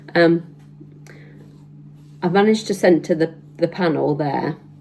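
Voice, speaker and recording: A woman's fairly low voice at a fairly slow pace, over noticeable background noise. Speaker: sewing vlogger. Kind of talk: casual tutorial vlog. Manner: hesitant, many fillers.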